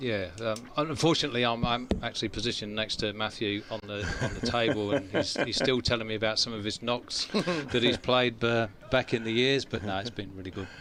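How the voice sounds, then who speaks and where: The speech moves at a fairly quick pace with hardly any pauses and ordinary pitch variation. Noticeable background noise can be heard. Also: man, medium pitch for a man. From Nottinghamshire, England. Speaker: former county cricketer. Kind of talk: casual interview. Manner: hesitant, many fillers.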